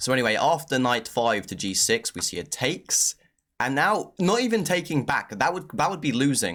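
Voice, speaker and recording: A man talks fairly quickly with very wide swings in pitch. The recording is very clean, with a silent background. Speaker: chess commentator. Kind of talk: game analysis tutorial. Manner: fast; casual, filler-heavy.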